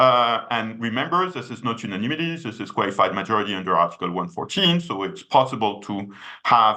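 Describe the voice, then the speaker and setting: Talking at a very fast pace, a man with a French accent uses lively intonation. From France. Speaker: economist, policy researcher. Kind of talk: web seminar presentation. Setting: video call. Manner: many hesitations and fillers.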